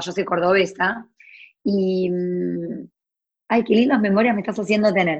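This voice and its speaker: A woman speaks at a medium pitch. Her pace is moderate and her pitch variation ordinary. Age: 40s. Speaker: entrepreneur and blogger. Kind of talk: interview. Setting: video call. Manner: animated.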